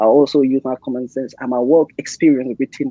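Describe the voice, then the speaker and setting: A man speaks over noticeable background noise. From Gambia. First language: Mandinka. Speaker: sports therapist. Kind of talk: interview.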